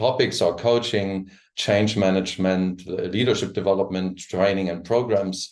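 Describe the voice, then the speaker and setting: With a German accent, a man speaks at a moderate pace in a fairly low pitch with a monotone, flat intonation against a quiet background. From Germany. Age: 60s. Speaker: coach and trainer. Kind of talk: presentation. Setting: live stream. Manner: halting.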